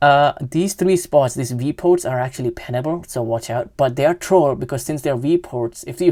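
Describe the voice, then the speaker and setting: With a non-native accent, a woman with a very deep, low pitch and dark, mellow tone speaks at a moderate pace in a very clean recording with a silent background. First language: not English. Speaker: gaming youtuber. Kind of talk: gameplay commentary. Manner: halting, many self-corrections.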